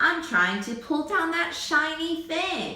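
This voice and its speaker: In a put-on character voice, a woman talks fairly slowly at a high pitch, with a slight echo. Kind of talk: children's read-aloud. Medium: read story.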